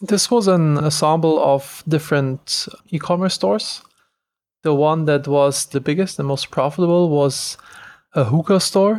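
A man with a German accent speaks in a fairly high pitch on a very clean recording with a silent background. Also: ordinary pitch variation, moderate pace. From Germany. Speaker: entrepreneur. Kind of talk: interview.

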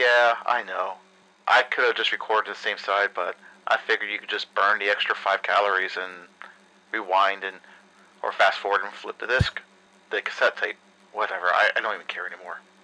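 A man speaks at a fairly quick pace but leaves long, frequent pauses. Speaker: recorded message. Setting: recorded cassette tape.

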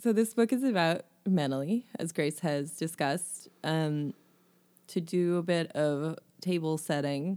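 At a fairly slow pace, a woman with a fairly low pitch and a dark, mellow tone speaks in a playful tone with lively intonation, on a very clean recording with a silent background. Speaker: book podcast co-host. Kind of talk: casual chat. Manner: playful, giggly.

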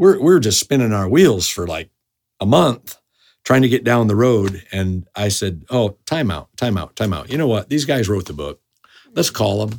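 On a very clean recording with a silent background, a man with a plain, everyday voice and a fairly low pitch talks at a moderate pace. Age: 50s. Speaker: pastor. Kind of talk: interview.

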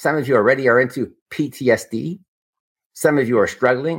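A man's medium-pitched voice with vocal fry, on a very clean recording against a silent background. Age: 60s. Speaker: emergency physician. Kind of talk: lecture.

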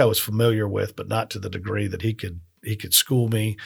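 Somewhat breathy and fairly low in pitch, a man speaks on a very clean recording with a silent background. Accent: American. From US South, Miami. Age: 50s. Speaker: restaurateur. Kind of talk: casual interview. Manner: hesitant, many fillers.

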